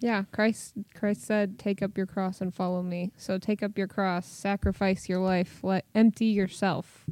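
With a dark, mellow tone, a woman speaks at a medium pitch in a monotone, flat intonation, at a fairly slow pace with hardly any pauses, on a very clean recording with a silent background. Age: 20s. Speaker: church worship and youth leader. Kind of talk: casual chat.

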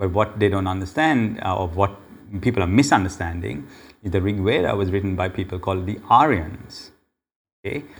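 Speaking at a moderate pace, the man has a fairly low pitch, a somewhat breathy quality and ordinary pitch variation. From Sri Lanka. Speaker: pastor. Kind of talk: interview.

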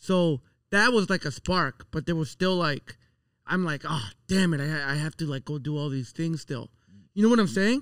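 On a very clean recording with a silent background and a dry, close sound with no echo, a man talks in a normal speaking voice at a fairly high pitch, moderate pace and lively intonation. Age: 30s. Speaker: podcast host. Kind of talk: casual chat.

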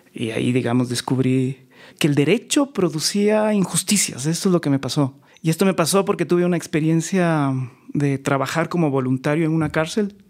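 A man with a plain, everyday voice speaks at a fairly high pitch and a moderate pace, with ordinary pitch variation and very even loudness, on a very clean recording with a silent background. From Ecuador, Quito (south). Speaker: lawyer and law professor, former judge. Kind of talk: casual interview conversation.

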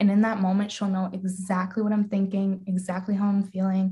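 At medium pitch, a woman with a dark, mellow tone and a somewhat breathy voice speaks at a moderate pace. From Calgary, Canada. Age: young. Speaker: podcast guest, old school friend. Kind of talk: casual chat.

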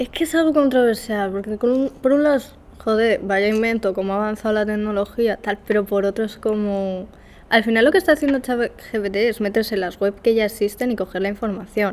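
A woman with an ordinary speaking voice, fairly high-pitched, at a fairly quick pace with ordinary pitch variation and big swings in loudness. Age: 20. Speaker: journalism student. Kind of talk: casual chat. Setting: university classroom with echo. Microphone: echo, uneven distance to mic.

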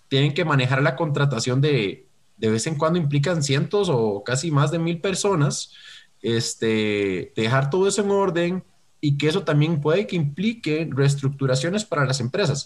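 Over a silent background in a very clean recording, a man with a fairly high pitch speaks at a moderate pace, somewhat breathy, with lively intonation and very even loudness. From Costa Rica. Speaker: talent management consultant. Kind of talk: interview.

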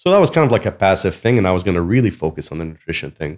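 A man's very deep, low voice at a very fast pace, on a very clean recording with a silent background. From Abu Dhabi, UAE. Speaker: guest. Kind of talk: casual chat.

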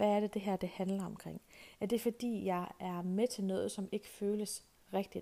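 The woman's voice sits at a medium pitch with a dark, mellow tone. Her intonation stays monotone and flat. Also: fairly slow pace. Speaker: podcast host. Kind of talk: casual solo podcast monologue. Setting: outdoors on a walk.

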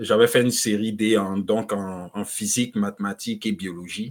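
At a moderate pace, a man with a fairly low pitch talks in a very clean recording with a silent background. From Ivory Coast (Abidjan). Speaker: economist and author. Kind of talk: interview.

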